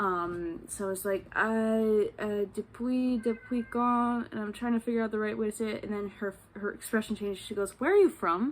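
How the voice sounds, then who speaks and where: A woman with an American accent and a fairly high pitch talks at a moderate pace with hardly any pauses and ordinary pitch variation. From New York state, US. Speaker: vlogger. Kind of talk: casual travel vlog storytelling. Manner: halting, many fillers.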